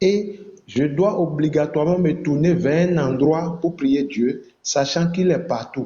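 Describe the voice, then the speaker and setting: With a fairly high pitch and ordinary pitch variation, a man speaks at a fairly slow pace. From Benin. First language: Fon (speaking French). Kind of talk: online religious debate.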